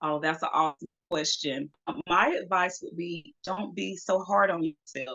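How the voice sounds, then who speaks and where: Speaking with a Southern US accent, a woman has a fairly low pitch and lively intonation. She keeps a moderate pace with hardly any pauses. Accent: Southern US (Georgia). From US South, Georgia (Macon). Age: 40s. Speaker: model. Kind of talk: interview.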